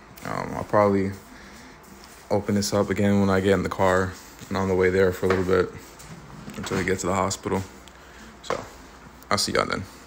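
Over light background noise, a man talks at a very fast pace in a very deep, low voice with monotone, flat intonation. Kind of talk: casual vlog chat. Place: home room. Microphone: phone near.

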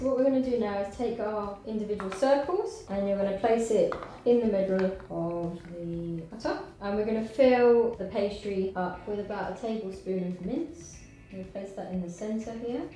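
A woman's moderate-paced voice with ordinary pitch variation, audible room echo and light background noise. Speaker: cooking show host. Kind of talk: tutorial. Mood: relaxed, friendly. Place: kitchen.

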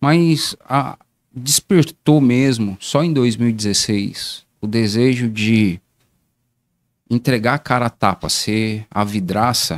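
The speaker talks at a very slow pace with very even loudness and ordinary pitch variation. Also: man. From Brazil, Guarulhos, greater São Paulo; São Paulo state, Brazil. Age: 40s. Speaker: municipal council pre-candidate; council candidate. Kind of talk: casual interview on livestream. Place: studio. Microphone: studio mic.

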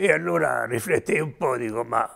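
There is vocal fry in the voice, set against a quiet background. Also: man. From Umbria, Todi; Umbria. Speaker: war veteran. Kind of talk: testimony. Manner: halting. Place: home room. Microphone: lapel.

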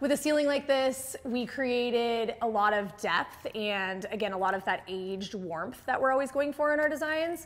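She speaks with pitch that rises and falls in an ordinary way. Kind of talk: house tour presentation. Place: home room. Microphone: lapel.

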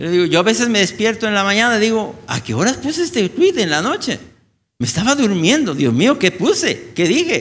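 A man speaks at a moderate pace in a high pitch. His pitch swings very widely. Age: old. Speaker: infectious disease physician; conference lecturer. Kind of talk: conference talk. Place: hall.

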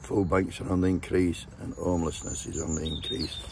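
Light background noise runs under the speech. The pace is moderate and the sound is dry with no echo. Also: man. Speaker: political vlogger. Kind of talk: casual vlog rant. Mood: mocking, sweary, jovial. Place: open country. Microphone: phone near.

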